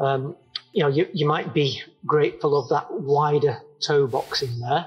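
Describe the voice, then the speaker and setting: Faint music plays in the background. A man talks at a fairly slow pace. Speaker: trail running shoe reviewer. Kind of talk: product review talk to camera. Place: open country.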